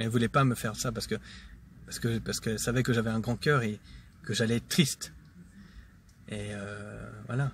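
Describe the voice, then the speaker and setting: A man's bright, sharp tone at a fairly quick pace. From Switzerland, Geneva. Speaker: vlogger. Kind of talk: casual monologue vlog. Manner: hesitant, many fillers.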